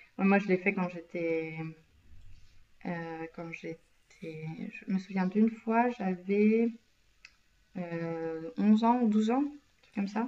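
Speaking at a very slow pace with long, frequent pauses, a woman has a medium-pitched voice with ordinary variation. Her loudness swings widely. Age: 20s. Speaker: podcast co-host. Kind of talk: casual chat.

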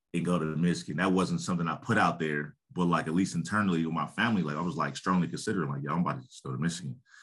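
Very deep and low in pitch, a man with an American accent speaks in a bright, sharp tone with ordinary pitch variation. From Columbus, Ohio. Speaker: youth football league director, former pro football player. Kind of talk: casual interview.

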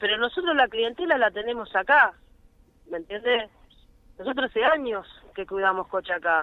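This woman's voice is fairly high in pitch. She keeps a moderate pace. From Argentina. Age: 40s. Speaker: car-minder and street worker. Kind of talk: phone interview testimony. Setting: phone call.

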